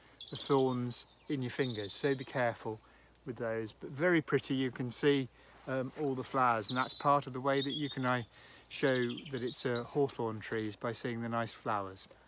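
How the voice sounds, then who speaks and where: A man's plain, everyday voice, medium in pitch, at a moderate pace with fairly even intonation. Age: 60s. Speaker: farmer giving a tree lesson. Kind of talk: outdoor educational talk for children.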